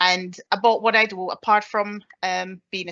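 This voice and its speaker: With a Caribbean accent, a woman speaks at a fairly slow pace with fairly even intonation. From Jamaica. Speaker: army staff sergeant. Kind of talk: presentation. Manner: hesitant with fillers.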